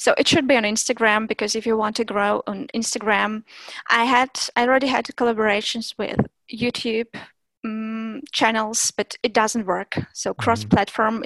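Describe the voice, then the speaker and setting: A woman with a Russian accent speaks at a moderate pace and a fairly high pitch. Her intonation is fairly even, and the sound is dry and close with no echo. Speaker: language teacher and content creator. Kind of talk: interview.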